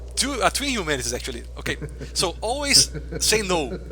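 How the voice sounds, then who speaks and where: Amid noticeable background noise and audible room echo, a man talks with a Brazilian accent. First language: Portuguese. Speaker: video game streamer. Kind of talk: live gameplay commentary. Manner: fast.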